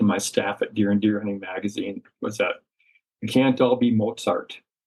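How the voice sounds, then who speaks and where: A man with an American accent, medium pitch and a moderate pace. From US Midwest, Madison, Wisconsin. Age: 60s. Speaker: outdoor writer. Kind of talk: casual interview conversation. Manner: halting, many fillers.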